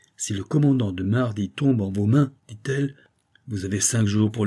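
An unforced reading voice with ordinary pitch variation and a quiet background

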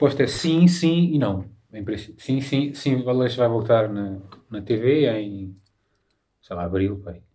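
A man with a medium pitch and a dark, mellow tone speaks at a fairly slow pace, leaving long, frequent pauses. His intonation is lively and his loudness swings a lot. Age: 30s. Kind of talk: casual chat.

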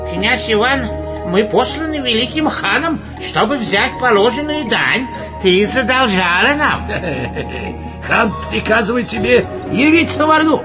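Clear music plays behind a man doing a put-on character voice at an extremely high pitch with big pitch swings. He goes at a fairly slow pace with long, frequent pauses.

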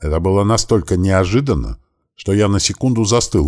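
A quiet background, ordinary pitch variation, and reading aloud in a natural voice

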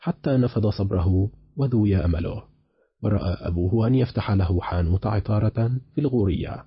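The delivery is an unforced reading voice with ordinary pitch variation. The background is quiet.

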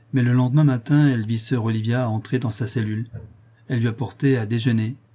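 With fairly even intonation, this is an unforced reading voice.

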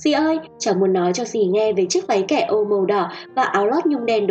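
Lively intonation while reading aloud in a natural voice

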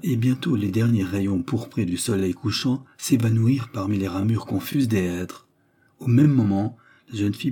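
Read aloud plainly, the words carry ordinary shifts in pitch.

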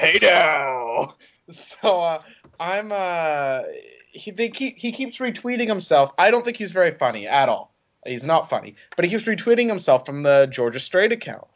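His voice is high for a man, and its pitch swings very widely. He keeps to a moderate pace. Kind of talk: casual banter podcast.

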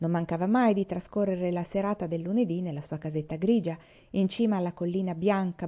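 Someone reads in an unforced voice.

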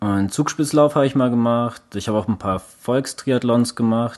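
This is a man with an unremarkable speaking voice. His pitch is medium. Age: 30s. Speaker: endurance sports podcast co-host. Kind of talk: casual chat.

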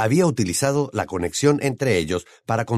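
The intonation is lively as the passage is read aloud in a natural voice.

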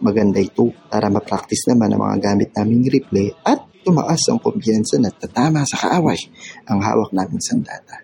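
A man puts on a character voice that is fairly low, dark and mellow, with vocal fry, a husky, rough edge and ordinary pitch variation. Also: moderate pace.

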